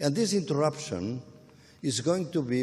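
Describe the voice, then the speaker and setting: Speaking fairly slowly with a Portuguese accent, a man uses a fairly high pitch and very wide pitch swings. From Portugal. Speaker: academic speaker. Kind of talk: panel dialogue. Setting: public event at a gallery.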